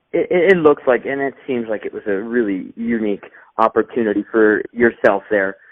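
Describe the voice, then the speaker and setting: This man has a plain, everyday voice with an American accent. His pitch is medium, with ordinary variation, and his pace is moderate. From California. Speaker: film reviewer interviewer. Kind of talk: interview.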